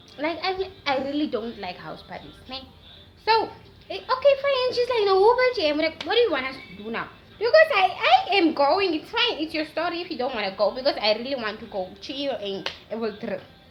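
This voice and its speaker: A woman's extremely high voice at a fairly quick pace, with very wide pitch swings, big swings in loudness and noticeable background noise. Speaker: YouTuber. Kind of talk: story time. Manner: animated.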